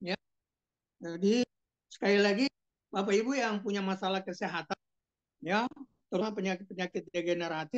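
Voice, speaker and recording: A woman speaks at a fairly quick pace in a medium pitch, with ordinary pitch variation and long, frequent pauses. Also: dry, close sound with no echo. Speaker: doctor presenting health products. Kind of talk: sales presentation. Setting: video call. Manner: halting, many fillers; louder after request.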